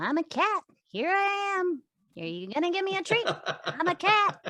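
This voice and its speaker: A put-on character voice at an extremely high pitch, delivered at a moderate pace. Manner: playful, begging.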